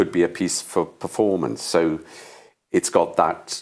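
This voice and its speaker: Moderately paced speech from a man with a Welsh accent, on a very clean recording with a silent background. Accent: Welsh (Swansea). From Wales, Swansea. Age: 70s. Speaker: stage actor. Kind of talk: interview. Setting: studio.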